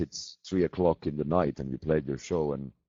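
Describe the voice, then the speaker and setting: In a Swedish accent, the speaker talks at a moderate pace with ordinary pitch variation. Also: man. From Finland. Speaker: metal band musician. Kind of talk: casual chat. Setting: video call.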